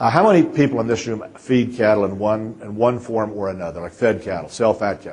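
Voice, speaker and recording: A man with a Kansas accent and medium pitch talks at a fairly quick pace with hardly any pauses. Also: ordinary pitch variation. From central Kansas. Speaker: feedyard owner and consultant. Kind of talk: conference presentation. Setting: stage with audience. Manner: halting, many repetitions.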